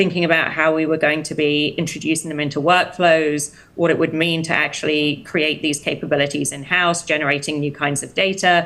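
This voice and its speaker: Through noticeable background noise, a woman with a very deep, low pitch talks at a fairly quick pace in a monotone, flat intonation with hardly any pauses. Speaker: health tech executive. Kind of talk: interview.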